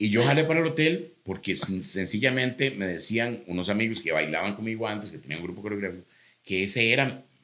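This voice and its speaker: A man with a Costa Rican accent, very fast and with lively intonation, fairly low pitch, a bright, sharp tone and big swings in loudness. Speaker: comedian. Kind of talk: casual chat.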